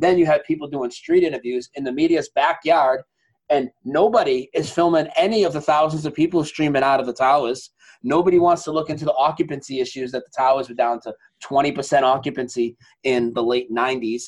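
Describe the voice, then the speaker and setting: A man speaks at a fairly high pitch in a plain, everyday voice. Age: 40s. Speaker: broadcaster. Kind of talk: casual chat.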